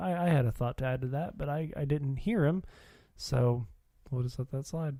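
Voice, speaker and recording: The voice has a dark, mellow tone, is somewhat breathy, and comes with a Midwestern accent. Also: man, fairly high pitch for a man, moderate pace. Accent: flat Midwestern. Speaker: podcast co-host. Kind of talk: casual chat.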